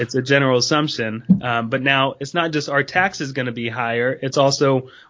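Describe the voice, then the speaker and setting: With an American accent, a man speaks in an unremarkable speaking voice at medium pitch with ordinary pitch variation. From North Carolina, US. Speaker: financial planner. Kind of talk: interview.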